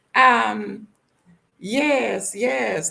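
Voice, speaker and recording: A woman speaks with a bright, sharp tone and vocal fry. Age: 50s. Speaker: vlogger. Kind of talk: casual livestream chat. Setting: live stream. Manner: animated.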